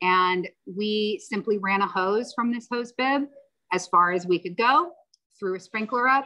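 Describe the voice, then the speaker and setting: A woman with an ordinary speaking voice at a moderate pace. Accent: American. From Virginia. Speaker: landscape designer. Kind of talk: presentation. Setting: video call.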